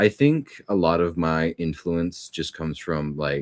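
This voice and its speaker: Quiet background and dry, close sound with no echo frame a voice at a moderate pace with ordinary pitch variation. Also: man. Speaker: voice actor. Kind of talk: casual interview.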